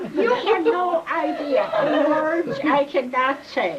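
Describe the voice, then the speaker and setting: Over noticeable background noise, a woman speaks very slowly in a high pitch with lively intonation. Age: 80s+. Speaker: birthday honoree. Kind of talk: casual chat. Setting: family party.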